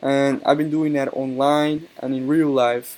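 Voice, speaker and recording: A man with a strong Colombian accent and a fairly high pitch speaks at a moderate pace in a monotone, flat intonation. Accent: heavy Colombian Spanish. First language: Spanish. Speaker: YouTuber, card game player. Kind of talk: casual monologue video. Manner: hesitant, many fillers.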